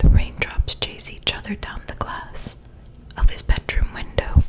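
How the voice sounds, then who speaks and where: A woman is whispering at a fairly slow pace. There is noticeable background noise. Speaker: ASMR creator reading a book aloud. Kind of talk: ASMR whispered book reading. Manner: whispered, soft.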